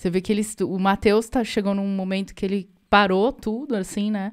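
A woman with an unremarkable speaking voice talks at a medium pitch and moderate pace. The background is quiet. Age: 40s. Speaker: musician and podcast co-host; podcast co-host. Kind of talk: casual chat. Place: home room. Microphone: studio mic.

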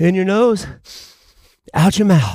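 A man's voice in a dry sound with no echo. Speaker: fitness instructor. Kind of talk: workout instruction. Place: gym.

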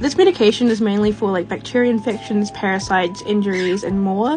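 Over background music, a woman talks at a fairly quick pace in a fairly high pitch. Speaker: fish keeper. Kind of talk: casual talk to camera.

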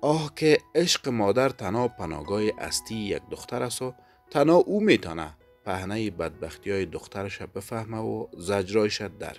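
With music playing in the background, a hoarse, put-on character voice speaks. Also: man, fairly low pitch for a man. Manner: sorrowful.

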